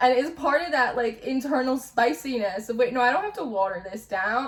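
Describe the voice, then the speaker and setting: A woman with a New Jersey accent speaks in an animated tone at a moderate pace, with high pitch and lively intonation. Noticeable background noise sits behind her. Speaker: tarot reader. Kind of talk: spiritual reading monologue. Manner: loud.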